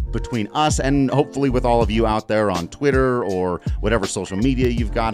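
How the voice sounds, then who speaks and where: Music plays behind a man who speaks fairly low and at a fairly quick pace. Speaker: podcast host. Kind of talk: casual conversational. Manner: soothing.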